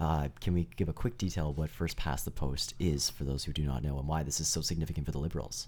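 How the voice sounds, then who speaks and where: A man with a Canadian accent talks at a very fast pace, with hardly any pauses and ordinary pitch variation. His very deep, low voice has a dark, mellow tone and vocal fry. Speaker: student radio host. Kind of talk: casual chat. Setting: studio. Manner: animated.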